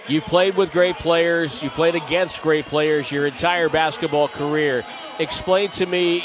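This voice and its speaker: This man has a fairly high pitch and an American accent. His intonation stays fairly even over noticeable background noise. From Connecticut. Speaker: basketball play-by-play announcer. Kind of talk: live commentary and interview.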